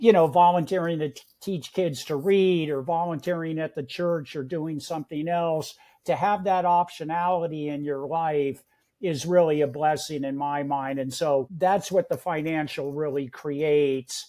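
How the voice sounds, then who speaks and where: With an American accent, this dark, mellow voice keeps a moderate pace and fairly even intonation on a very clean recording with a silent background. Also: man, fairly high pitch for a man. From San Francisco Bay Area, California. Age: 70s. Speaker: real estate investor. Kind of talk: interview.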